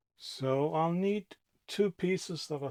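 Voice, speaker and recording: Recorded very cleanly with a silent background, a man with a non-native accent speaks at a fairly slow pace with ordinary pitch variation. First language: not English. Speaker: boat restoration vlogger. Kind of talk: DIY tutorial narration. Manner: casual, hesitant musing.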